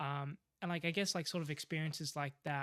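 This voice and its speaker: In an Australian accent, a man talks at a moderate pace with fairly even intonation, recorded very cleanly against a silent background. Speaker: aspiring professional golfer. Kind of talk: casual interview chat. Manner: hesitant, many fillers.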